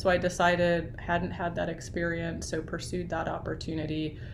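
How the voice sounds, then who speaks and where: This woman's voice sits fairly low, and audible echo fills the room. Noticeable background noise is also present. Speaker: university library associate dean. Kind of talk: talk to student group on video call. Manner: fast.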